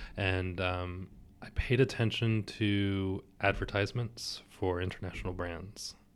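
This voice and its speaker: A man with an American accent speaks in a flat monotone at a fairly slow pace, on a very clean recording with a silent background. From US, Maryland. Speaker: language teacher. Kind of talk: interview. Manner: hesitant, with many fillers.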